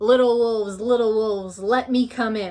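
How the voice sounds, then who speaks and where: A woman speaks in a put-on character voice at a fairly high pitch. Her pace is moderate. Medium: read story. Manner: menacing.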